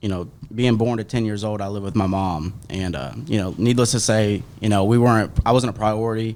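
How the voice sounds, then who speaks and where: A normal speaking voice from a man, fairly low in pitch with fairly even intonation, on a very clean recording with a silent background. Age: 20s. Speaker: real estate agent. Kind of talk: personal testimony.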